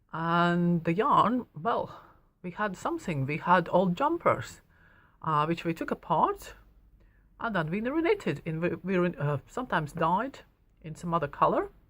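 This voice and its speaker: A woman with a Latvian accent and a fairly low pitch, lively intonation at a moderate pace, on a very clean recording with a silent background. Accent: Latvian accent, noticeable. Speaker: knitting shop owner and teacher. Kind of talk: personal story to camera. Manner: hesitant, many fillers.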